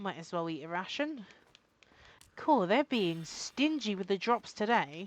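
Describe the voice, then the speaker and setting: A woman with a British accent, long and frequent pauses, on a very clean recording with a silent background. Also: medium pitch for a woman, fairly slow pace. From Britain. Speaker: gaming streamer. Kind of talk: live gameplay commentary. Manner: casual, halting with fillers.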